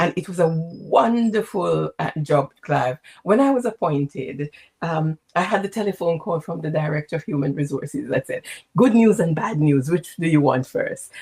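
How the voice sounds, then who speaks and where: A woman speaks at a moderate pace in a fairly low pitch, her tone dark and mellow and somewhat breathy. Her intonation is lively, and the sound is dry and close with no echo. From Jamaica, St. James. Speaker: executive coach and former nurse leader. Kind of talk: interview.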